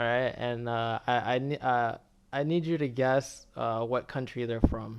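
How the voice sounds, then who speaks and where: A man talks with an American accent at a fairly slow pace. His pitch is medium and his intonation fairly even. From United States, Dominican family. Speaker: online commentator. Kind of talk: casual chat. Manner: proper, articulate speech.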